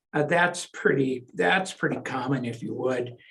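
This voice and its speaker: With vocal fry, a man speaks in lively intonation. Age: 70s. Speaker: real estate lawyer. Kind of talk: interview.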